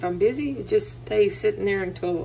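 Fairly quick speech over light background noise. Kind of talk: tutorial. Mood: relaxed, friendly. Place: kitchen. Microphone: phone near.

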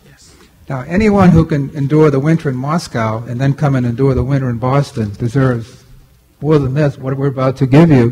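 A man's somewhat breathy voice with a dark, mellow tone, ordinary pitch variation and a moderate pace. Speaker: college president. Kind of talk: welcome remarks. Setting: stage with audience. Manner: halting. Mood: warm, gracious. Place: hall. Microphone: podium.

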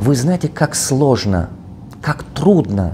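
A man speaks with very wide pitch swings. There is light background noise. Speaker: business coach; coach. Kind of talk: video address. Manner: non-fluent Russian, halting; animated, emphatic. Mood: defensive, passionate. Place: meeting room. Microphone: lapel.

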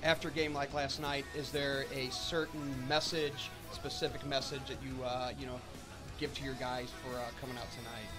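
Speech at a moderate pace plays over clear music in the background. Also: man. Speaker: college hockey broadcaster. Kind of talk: sideline interview question to coach. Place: hall. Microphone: handheld.

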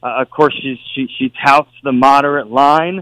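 In a plain, everyday voice, a man speaks at a fairly slow pace with fairly even intonation. The sound is dry and close, with no echo. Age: 40s. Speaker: senate candidate, former state attorney general. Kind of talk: radio interview.

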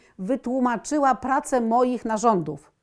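In a very clean recording with a silent background, a woman talks at a very slow pace in a high pitch. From Poland, Warsaw. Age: 60s. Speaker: patient. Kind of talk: testimony.

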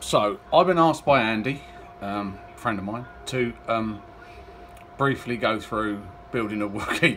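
A man at a fairly slow pace, with long, frequent pauses, ordinary pitch variation and light background noise. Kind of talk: casual tutorial chat. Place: workshop. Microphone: phone near.

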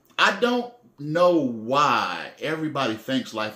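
A man's fairly high voice with very wide pitch swings, audible room echo, and a quiet background. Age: 40s. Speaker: faith vlogger. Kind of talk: personal monologue. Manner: halting, many fillers; repetitive stammering restarts. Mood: earnest, emphatic. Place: home room. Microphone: phone near.

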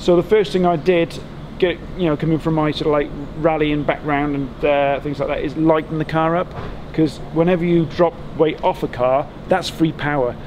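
Speaking in an unremarkable speaking voice, a man with a fairly high pitch talks at a moderate pace with fairly even intonation over light background noise. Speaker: electric car conversion engineer, workshop owner. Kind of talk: technical walkaround explanation. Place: street.

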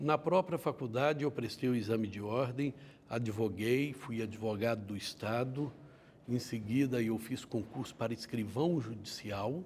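Over light background noise, a man speaks at a fairly slow pace with a somewhat breathy voice and ordinary pitch variation. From Minas Gerais, Brazil (Patos de Minas); Minas Gerais, Brazil. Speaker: judge. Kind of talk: interview. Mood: calm, reflective. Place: studio. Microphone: lapel.

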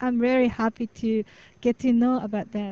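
A woman's high-pitched voice with a dark, mellow tone, flat monotone intonation and a Japanese accent, in a dry, close sound with no echo. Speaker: student teacher. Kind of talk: panel discussion.

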